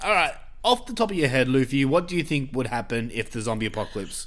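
Very wide pitch swings in an Australian accent. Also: man. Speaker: podcast host. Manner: casual, sweary.

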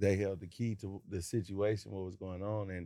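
Using an American accent, a man speaks at a moderate pace in a very deep, low pitch, with a dark, mellow tone and monotone, flat intonation. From West Las Vegas, Nevada. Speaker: high school coach. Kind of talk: casual chat.

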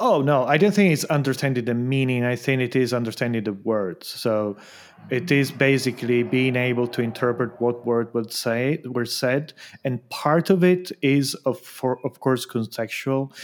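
A man's voice at medium pitch, with ordinary pitch variation and a moderate pace, on a very clean recording with a silent background. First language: Italian. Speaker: podcast host. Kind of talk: casual conversation podcast.

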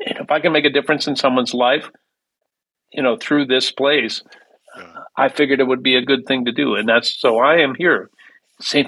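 A man with an Upper Midwest accent talks at a fairly quick pace. His medium-pitched voice has a bright, sharp tone and fairly even intonation. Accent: Upper Midwest American. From US Midwest, Minneapolis. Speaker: musician. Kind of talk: interview. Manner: halting.

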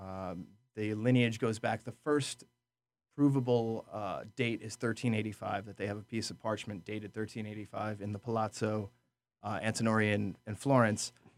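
Against a very clean recording with a silent background, a man with an American accent and a plain, everyday voice speaks at a moderate pace, fairly low in pitch, with fairly even intonation. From upstate New York (Orange County). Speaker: restaurant manager and sommelier. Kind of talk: casual interview. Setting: studio.

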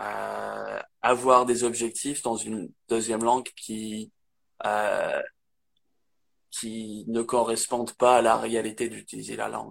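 This man talks at a very slow pace with a slight English accent. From northern England, Manchester area. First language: English (speaking French). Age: 20s. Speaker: English teacher. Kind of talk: casual interview. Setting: Instagram live video. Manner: halting.

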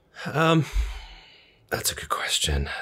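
A man speaks in a bright, sharp tone with vocal fry. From West County. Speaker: entrepreneur. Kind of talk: interview.

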